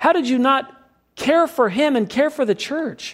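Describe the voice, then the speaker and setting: This man's voice sits at an extremely high pitch. His pitch variation is ordinary. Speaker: pastor. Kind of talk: sermon. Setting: church. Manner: fast.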